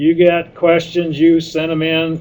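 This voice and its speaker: A man talks at a fairly slow pace with a fairly high pitch. He has a Midwestern American accent. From Indiana. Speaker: animal science professor. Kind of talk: webinar lecture. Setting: webinar.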